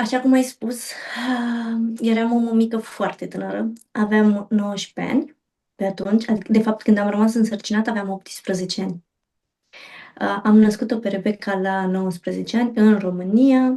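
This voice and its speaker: Her pitch is fairly high and her tone dark and mellow. This woman talks at a moderate pace with fairly even intonation. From Romania, Bucharest. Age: 30s. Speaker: mother sharing birth stories. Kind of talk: interview testimony.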